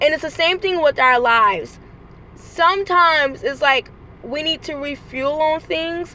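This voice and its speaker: A woman speaks in a raised, projected voice at a high pitch and a fairly slow pace. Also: ordinary pitch variation. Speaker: vlogger and rideshare driver. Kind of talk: motivational vlog. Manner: high energy.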